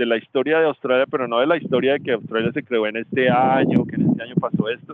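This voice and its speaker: With lively intonation, a man races along at a very fast pace. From Colombia, Ibagué (Tolima). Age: 40s. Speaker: systems engineer. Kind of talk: webinar interview answer. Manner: halting.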